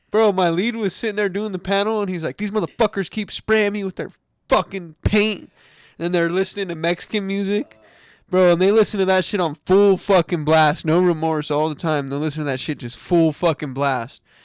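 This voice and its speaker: A man shouts at a fairly quick pace in a high voice with ordinary pitch variation. The recording is very clean, with a silent background. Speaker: podcast co-host; electrician. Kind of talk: casual chat. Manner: yelling, almost screaming.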